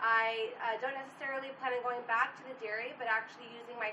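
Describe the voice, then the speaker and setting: With audible room echo, a woman with a fairly high pitch speaks at a fairly quick pace in a monotone, flat intonation. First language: Portuguese. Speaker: student panelist. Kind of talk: panel discussion. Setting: on location at university event.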